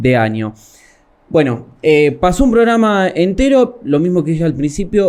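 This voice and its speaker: Moving at a moderate pace, a man speaks. His pitch swings very widely. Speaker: show host. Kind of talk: interview.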